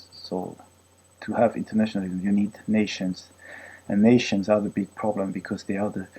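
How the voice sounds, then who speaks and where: A man speaks in a French accent with a dark, mellow tone and fairly low pitch. His delivery is monotone and flat, at a moderate pace. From France, Brittany. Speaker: vlogger, former physics researcher. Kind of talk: political rant monologue. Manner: halting, many fillers.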